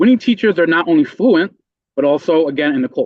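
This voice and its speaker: This man has a Spanish accent and a fairly high pitch. His voice makes very wide pitch swings. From Puerto Rico, then Meriden, Connecticut. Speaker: member of the public testifying. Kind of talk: public hearing testimony. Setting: legislative committee hearing.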